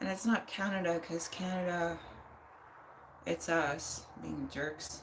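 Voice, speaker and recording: A woman with an American accent talks at a very slow pace, leaving long, frequent pauses. Noticeable background noise runs underneath. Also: fairly low pitch for a woman, ordinary pitch variation. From United States. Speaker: livestreamer. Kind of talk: casual chat.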